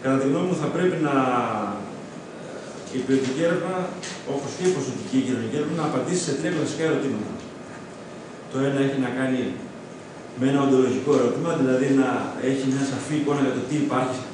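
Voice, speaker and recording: Speaking at a very fast pace with fairly even intonation, a man is heard in strong room echo with noticeable background noise. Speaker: presenter. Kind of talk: lecture. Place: classroom. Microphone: camera far.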